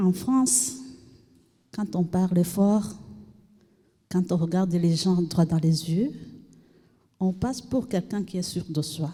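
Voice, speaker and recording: A woman's medium-pitched, somewhat breathy voice with a dark, mellow tone, a very slow pace and long, frequent pauses. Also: ordinary pitch variation. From Burundi. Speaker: refugee, trainee. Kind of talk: testimony.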